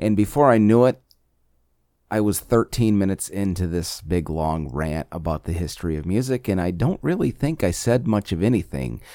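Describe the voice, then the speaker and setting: A man speaks with a very deep, low pitch and a dark, mellow tone. His intonation is lively at a moderate pace on a very clean recording with a silent background. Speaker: podcast host. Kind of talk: solo monologue podcast. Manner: talkative.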